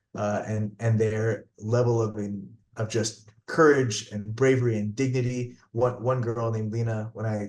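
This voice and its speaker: A man talks with a New Jersey accent. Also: quiet background. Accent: American, New Jersey. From New Jersey, US. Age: 30s. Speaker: physician. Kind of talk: interview testimony. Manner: animated, repetitive false starts.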